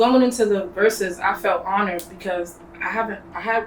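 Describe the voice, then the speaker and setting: A woman with an American accent speaks in a medium pitch. Noticeable background noise runs under her voice. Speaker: rapper. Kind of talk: casual interview chat. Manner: monotone.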